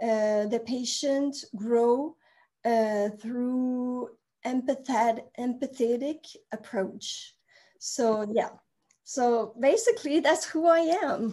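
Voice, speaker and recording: Speaking at a very slow pace, a woman has a high pitch and ordinary pitch variation, with a slight Quebec accent. Her tone is dark and mellow. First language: French. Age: 40s. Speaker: therapist. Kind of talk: casual chat.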